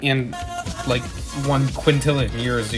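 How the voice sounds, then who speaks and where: The man's pitch is medium and varies in an ordinary way, while music plays behind him. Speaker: gaming livestreamer. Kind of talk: live gaming stream reading chat. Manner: fast, slurring words.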